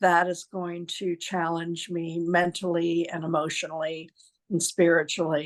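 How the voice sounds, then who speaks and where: Spoken in an American accent at a fairly slow pace, with monotone, flat intonation. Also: woman, fairly low pitch for a woman. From US East Coast, near New York City. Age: 60s. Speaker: professor. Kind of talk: interview. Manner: hesitant, many fillers.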